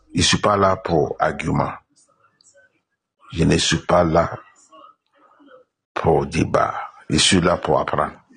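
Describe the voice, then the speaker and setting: A man with a non-native accent speaks at a very slow pace, with long, frequent pauses and very even loudness. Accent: non-native French, others misunderstand him. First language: not French (speaking French). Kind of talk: religious debate.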